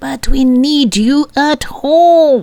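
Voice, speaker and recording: Her pitch is high. A woman puts on a character voice. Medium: read story. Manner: excited, insistent.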